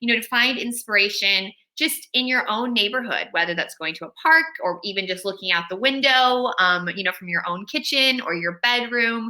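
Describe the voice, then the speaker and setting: A woman's bright, sharp voice in an American accent, fairly quick and with lively intonation. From California. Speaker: children's author. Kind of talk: author talk to school pupils.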